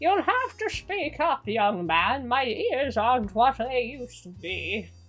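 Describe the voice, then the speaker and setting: A woman in a put-on character voice, high in pitch and fairly slow, with clear music in the background. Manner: frail, hard of hearing.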